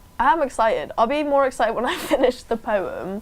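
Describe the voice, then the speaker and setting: Over noticeable background noise, a woman speaks with lively intonation. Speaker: journalism student trying spoken word. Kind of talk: casual interview chat. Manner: fast.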